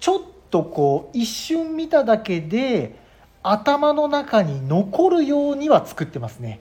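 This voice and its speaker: A man's extremely high-pitched voice at a very slow pace, with very wide pitch swings and big swings in loudness. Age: 40s. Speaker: web director, apparel brand owner. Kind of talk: casual chat.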